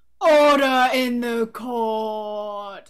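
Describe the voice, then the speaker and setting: A put-on character voice, booming and loud, at a fairly high pitch. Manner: very loud, booming.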